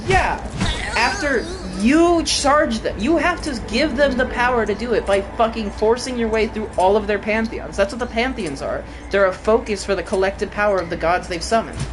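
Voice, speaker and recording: A woman talks at a moderate pace with a fairly high pitch. Noticeable background noise sits behind her. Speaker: video game streamer. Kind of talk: live gameplay commentary. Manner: loud.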